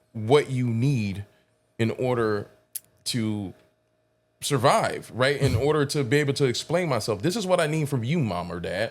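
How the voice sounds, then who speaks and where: In a very clean recording with a silent background, a normal speaking voice moves at a moderate pace with lively intonation. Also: man. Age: adult, parent. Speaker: podcast host. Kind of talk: casual podcast interview.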